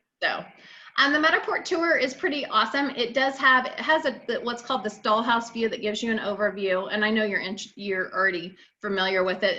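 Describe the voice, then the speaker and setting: There is noticeable background noise as a woman talks at a fairly quick pace. Her intonation is lively. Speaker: realtor. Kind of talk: role-play listing presentation.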